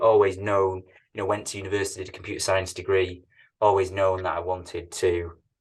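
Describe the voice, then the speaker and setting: The speaker has a Manchester accent. The pace is fairly quick. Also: man. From northern England, Manchester. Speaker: tech company CEO. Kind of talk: interview. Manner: hesitant, repeats words.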